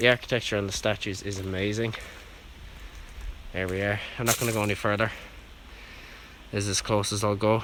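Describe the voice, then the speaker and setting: A man talks quietly at a fairly quick pace, with long, frequent pauses. His intonation is monotone and flat. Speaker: urban explorer video host. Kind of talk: vlog narration on location. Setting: outdoors at graveyard. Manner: quiet, keeping voice down.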